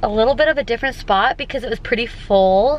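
Against light background noise, a woman talks at a fairly quick pace with ordinary pitch variation, the sound dry with no echo. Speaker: family vlogger. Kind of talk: casual vlog chat. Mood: amused, slightly embarrassed. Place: car. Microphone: phone near.

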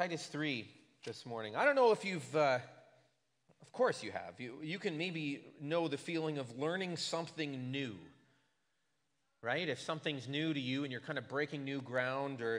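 Long, frequent pauses break up speech at a moderate pace. Ordinary pitch variation and big swings in loudness stand out over a quiet background. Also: man. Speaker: pastor. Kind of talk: sermon. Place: church. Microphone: podium.

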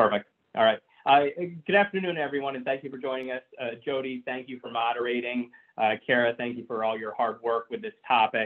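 A man at a fairly quick pace, with ordinary pitch variation and big swings in loudness, against a quiet background. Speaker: physical therapist. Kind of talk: webinar presentation. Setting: phone line into webinar. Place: home room. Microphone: webcam.

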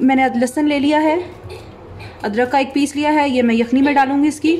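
This is a woman speaking. Her pitch sits high. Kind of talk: cooking tutorial. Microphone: phone near.

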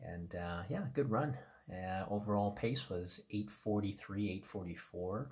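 A man speaks at a very slow pace and a fairly low pitch. His voice is somewhat breathy over a quiet background. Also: ordinary pitch variation. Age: 50s. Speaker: running vlogger. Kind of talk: casual vlog recap. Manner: hesitant with many fillers. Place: home room. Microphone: phone near.

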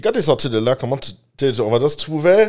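The background stays quiet. A male voice swings very widely in pitch. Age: 30s. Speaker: podcast host. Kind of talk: casual interview; interview questions. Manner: halting, many fillers. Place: studio. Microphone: studio mic.

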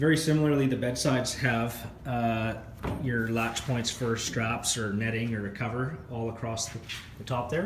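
A man at a moderate pace, with fairly even intonation, audible room echo and light background noise. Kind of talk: product walk-around commentary. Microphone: phone near.

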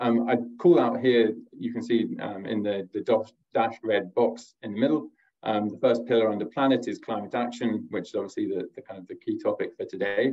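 Over a quiet background, a man talks at a fairly quick pace with big swings in loudness. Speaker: corporate sustainability director. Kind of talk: webinar presentation. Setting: video call. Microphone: video call.

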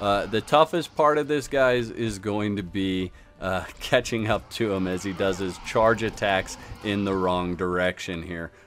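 A man talks in a normal speaking voice, pitched fairly low, with ordinary pitch variation. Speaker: gaming YouTuber. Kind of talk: tutorial. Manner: casual, filler-heavy.

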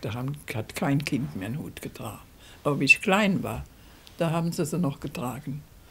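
Somewhat breathy, a woman with a very deep, low pitch speaks at a moderate pace with lively intonation. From Rhineland, Germany. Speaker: dialect poet. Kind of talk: interview answer. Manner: conversational, reminiscing. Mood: warm, amused reminiscing. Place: home room.

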